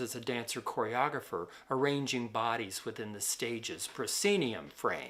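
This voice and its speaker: A man at a moderate pace. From US Midwest, Detroit. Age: 60s. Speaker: dancer and filmmaker. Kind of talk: lecture. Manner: measured, scripted-sounding.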